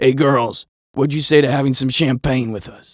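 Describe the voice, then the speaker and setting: A raspy, put-on character voice moves at a moderate pace with fairly even intonation. Its loudness swings widely. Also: man, medium pitch for a man. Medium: read story. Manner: brash, pushy salesman patter.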